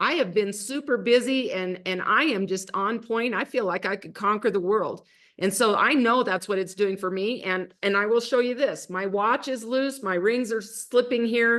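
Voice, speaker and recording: A plain, everyday voice from a woman, fairly high in pitch, with ordinary pitch variation at a moderate pace against a quiet background. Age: 60s. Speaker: network marketing distributor. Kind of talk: casual chat.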